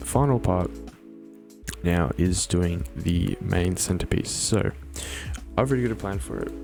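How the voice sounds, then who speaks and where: A man with a very deep, low pitch speaks at a moderate pace, his pitch swinging very widely. He leaves long, frequent pauses, with music in the background. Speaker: Minecraft builder. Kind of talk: casual tutorial narration.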